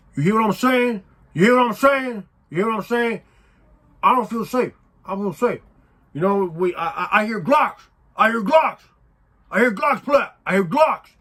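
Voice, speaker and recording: Using a put-on character voice, the speaker talks at a fairly high pitch in a raised, projected voice, with long, frequent pauses. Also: moderate pace. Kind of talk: street slang.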